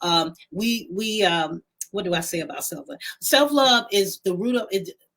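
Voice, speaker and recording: Her voice a normal speaking voice, a woman of medium pitch talks at a moderate pace with lively intonation. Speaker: talk show co-host. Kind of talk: casual chat.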